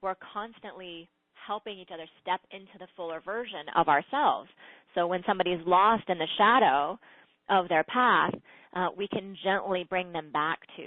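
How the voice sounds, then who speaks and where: Pitch variation here is ordinary. The delivery keeps a moderate pace. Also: woman. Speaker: spiritual teacher. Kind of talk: teaching talk on a call-in show. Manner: hesitant, many fillers.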